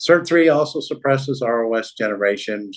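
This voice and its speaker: A man's voice with lively intonation. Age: 70s. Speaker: doctor and health lecturer. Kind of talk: lecture. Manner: casual, conversational.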